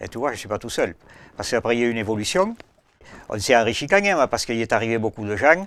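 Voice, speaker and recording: The speech runs at a very fast pace with lively intonation, broken by long, frequent pauses. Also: man, medium pitch for a man. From rural France. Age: 60s. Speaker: farmer. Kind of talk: casual chat. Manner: halting.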